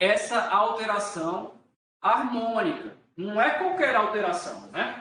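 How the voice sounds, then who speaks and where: Talking at a very slow pace, a man uses a raised, projected voice with very wide pitch swings. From Brazil, Rio de Janeiro. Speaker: law professor. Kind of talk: lecture. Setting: recorded video class. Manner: varied pace and pitch.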